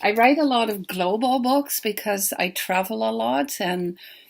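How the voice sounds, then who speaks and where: A woman with a Dutch accent on a very clean recording with a silent background. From Netherlands. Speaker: children's book author. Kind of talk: pre-recorded talk.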